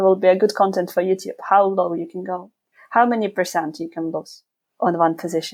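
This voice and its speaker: A woman speaks with a non-native accent at a fairly quick pace. Her intonation is flat and monotone, while her loudness swings widely. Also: medium pitch for a woman. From Ukraine. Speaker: investor and YouTuber. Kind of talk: podcast interview.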